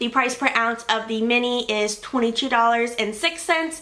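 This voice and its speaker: Noticeable background noise under a woman's high voice. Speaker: beauty vlogger. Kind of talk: casual product review monologue. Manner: fast; chatty, filler-heavy.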